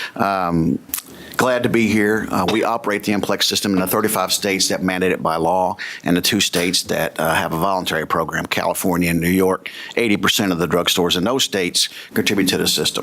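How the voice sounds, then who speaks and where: A man with a very deep, low pitch and a Kentucky accent, very fast pace, very even loudness and fairly even intonation, over noticeable background noise. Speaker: business executive and former police officer. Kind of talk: legislative testimony. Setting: committee hearing room. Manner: hesitant, with frequent fillers.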